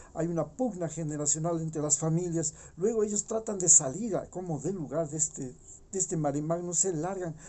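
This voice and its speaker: A man talks at a fairly quick pace. His pitch sits high. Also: ordinary pitch variation. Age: 60s. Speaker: political commentator. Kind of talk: opinion monologue. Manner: animated; halting.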